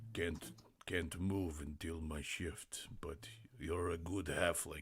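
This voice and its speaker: A man's put-on character voice, very deep and low in pitch, at a very slow pace, on a very clean recording with a silent background. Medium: actual play. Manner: slow, simple speech.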